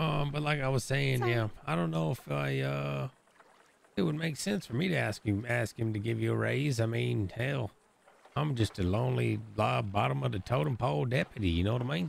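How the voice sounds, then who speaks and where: Putting on a character voice, a man rumbles at a fairly low pitch and moderate pace with very wide pitch swings. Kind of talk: western role play. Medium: game stream. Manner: grumbling, profane, confiding.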